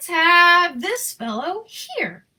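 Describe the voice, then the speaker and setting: Squeaky, extremely high-pitched put-on character voice from a woman, its pitch swinging very widely. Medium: read story.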